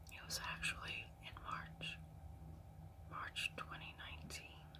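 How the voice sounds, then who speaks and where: A woman at a very slow pace over noticeable background noise. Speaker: ASMR storyteller. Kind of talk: ASMR storytelling. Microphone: phone near.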